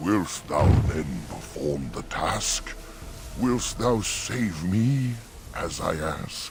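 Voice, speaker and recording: A put-on character voice at a very slow pace, with long, frequent pauses and clear music in the background. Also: man, very deep, low pitch for a man. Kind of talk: archaic fantasy verse. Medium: video game. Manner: rhyming, archaic, slow.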